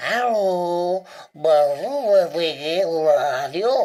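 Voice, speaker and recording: A woman uses a cartoonish character voice with lively intonation. She speaks at a very slow pace. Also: fairly low pitch for a woman. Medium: puppet show. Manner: garbled, confused.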